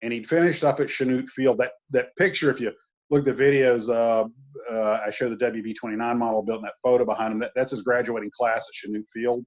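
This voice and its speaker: Medium-pitched male voice in a Southern US accent, fairly quick, with ordinary pitch variation. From US Deep South. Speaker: model builder and YouTuber. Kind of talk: casual chat. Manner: halting, many fillers.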